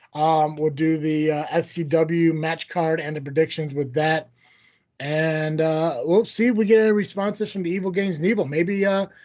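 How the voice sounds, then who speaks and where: The background is quiet. A man speaks at a fairly high pitch with ordinary pitch variation. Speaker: wrestling podcast host. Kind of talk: casual chat. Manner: fast.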